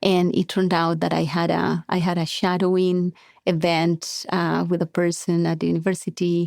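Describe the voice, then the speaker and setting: A woman with a Colombian accent and a fairly low pitch comes through a very clean recording with a silent background and a dry, close sound with no echo. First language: Spanish. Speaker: biotech company co-founder. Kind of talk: interview.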